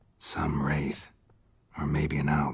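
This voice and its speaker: A put-on character voice, raspy and very deep, with monotone, flat intonation. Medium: video game. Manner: terse, dry.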